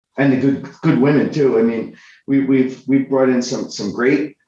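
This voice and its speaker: The man's voice sits at a medium pitch and carries a dark, mellow tone. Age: 60s. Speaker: convention organizer and CEO. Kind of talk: podcast interview. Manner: halting, many repetitions.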